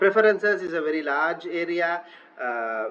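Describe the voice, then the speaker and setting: A man speaks with a Sri Lankan accent and a high pitch. Noticeable background noise runs behind him. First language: Sinhala. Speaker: online teaching tutor. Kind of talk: screen-recorded software tutorial. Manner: hesitant, many filler uhs.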